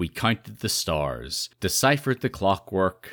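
On a very clean recording with a silent background and a dry, close sound with no echo, a man with a fairly low pitch shows vocal fry, a bright, sharp tone, and very wide pitch swings. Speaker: podcast host. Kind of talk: casual chat. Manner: chatty, laughs often.

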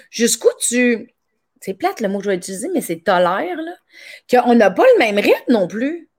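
A woman with a Quebec accent, fairly high in pitch, with very wide pitch swings, big swings in loudness and long, frequent pauses, in a very clean recording with a silent background. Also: moderate pace. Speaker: podcast host and comedian. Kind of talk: casual interview.

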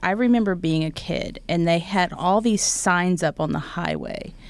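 Fairly slow speech in an Oklahoma accent, with ordinary pitch variation. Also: woman. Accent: Oklahoman Southern US. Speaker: actor and talk show host. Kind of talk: casual interview chat. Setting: studio. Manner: animated, laughs often.

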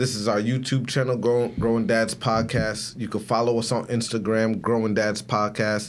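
In a room with audible echo, a man speaks at a moderate pace with hardly any pauses, his loudness very even and his intonation monotone and flat. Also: medium pitch for a man. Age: 30s. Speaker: podcast co-host. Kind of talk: casual chat.

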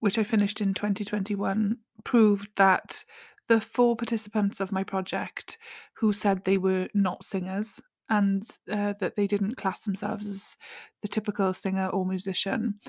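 Her medium-pitched voice is somewhat breathy and monotone, with flat intonation, at a moderate pace in a dry, close sound with no echo. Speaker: podcast host, singer and mental health practitioner. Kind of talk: solo monologue, personal reflection.

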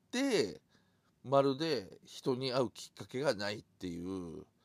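At a very slow pace, a man talks in a relaxed tone with lively intonation. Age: 50s. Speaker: podcaster. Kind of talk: casual monologue. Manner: relaxed, halting with fillers.

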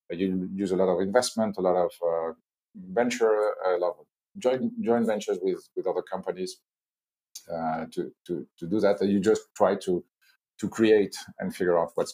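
With a French accent, a man speaks at a moderate pace, his loudness swinging widely. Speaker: corporate chief innovation officer. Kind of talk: business interview. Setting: video call from Hong Kong.

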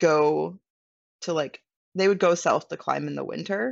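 This is a woman speaking. She has a western Canadian accent. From Canada, British Columbia (Vancouver Island). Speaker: van dweller and photographer. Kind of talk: casual interview chat.

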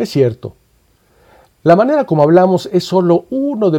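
A man speaks at a moderate pace with a dark, mellow tone. His pitch swings very widely. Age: 60s. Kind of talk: scripted narration. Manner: formal.

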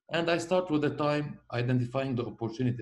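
A somewhat breathy man at a very fast pace, with ordinary pitch variation. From Lebanon. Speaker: logistics company founder. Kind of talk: interview.

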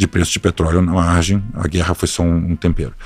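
A man's voice over music in the background. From Rio de Janeiro, Brazil (born São Paulo, moved young). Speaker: hedge fund partner. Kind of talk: casual interview.

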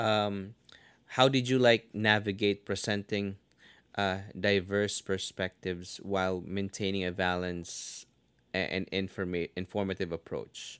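Recorded very clean with a silent background and a dry, close sound with no echo, a man with an ordinary speaking voice talks at a fairly low pitch and fairly slow pace with fairly even intonation. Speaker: podcast host. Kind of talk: interview with author.

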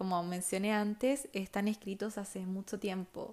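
A woman has an ordinary speaking voice with a medium pitch. She speaks at a fairly slow pace with fairly even intonation. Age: 20s. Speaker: podcast host, architecture student. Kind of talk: casual personal podcast monologue.

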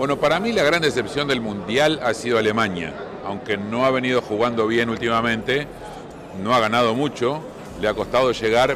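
Noticeable background noise accompanies a man speaking in a medium pitch. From Argentina. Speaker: sports correspondent. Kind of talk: casual discussion.

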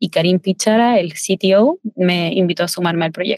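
A woman speaks at a medium pitch and a moderate pace in a plain, everyday voice. The sound is dry and close with no echo. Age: 20s. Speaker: chef. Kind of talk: interview.

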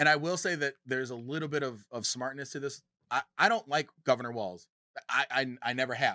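A man speaks at a fairly quick pace with a bright, sharp tone. The sound is dry and close, with no echo. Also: medium pitch for a man, ordinary pitch variation. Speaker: political podcast co-host. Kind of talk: casual political debate.

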